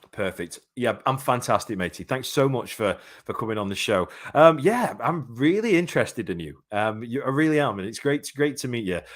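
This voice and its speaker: On a very clean recording with a silent background, a man at medium pitch talks at a fairly quick pace with very wide pitch swings. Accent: English. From England. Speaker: boxing podcast host. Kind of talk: live podcast interview.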